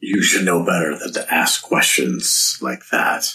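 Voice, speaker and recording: The voice is a raspy, put-on character voice from a man. His pace is fairly slow. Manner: menacing.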